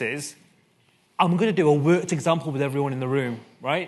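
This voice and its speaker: A man with a Mancunian accent speaks at a very fast pace with ordinary pitch variation. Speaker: conference speaker, co-founder of a media research test. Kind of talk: conference talk. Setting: stage with audience.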